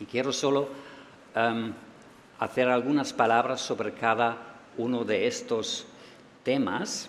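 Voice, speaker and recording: A man with a German accent, medium pitch and a very slow pace. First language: German (speaking Spanish). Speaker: EU official. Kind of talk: closing speech.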